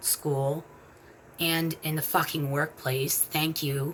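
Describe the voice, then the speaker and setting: A woman's very deep, low voice, somewhat breathy, monotone and flat, at a fairly slow pace. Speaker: vlogger. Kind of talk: personal vlog.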